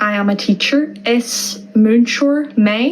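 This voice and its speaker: The woman's pitch is fairly high and varies in an ordinary way. Background noise is noticeable. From Ireland, Donegal. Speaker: Irish language tutor. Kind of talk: tutorial. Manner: slow, deliberate repetition of words.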